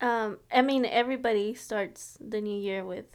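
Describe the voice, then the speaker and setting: An ordinary speaking voice from a woman, fairly high in pitch, with ordinary pitch variation and a moderate pace, in a very clean recording with a silent background. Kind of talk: casual chat.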